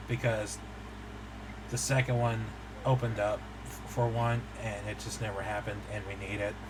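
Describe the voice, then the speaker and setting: A man talks at a moderate pace, leaving long, frequent pauses. Noticeable background noise and audible room echo surround his voice. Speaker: podcast co-host. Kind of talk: casual chat.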